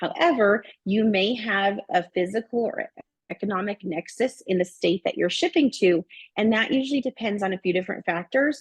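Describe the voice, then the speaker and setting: At a moderate pace, a woman with a fairly high pitch sounds somewhat breathy, her intonation lively, the sound dry and close with no echo. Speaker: bookkeeping trainer. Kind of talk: webinar presentation with Q&A. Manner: halting, many fillers.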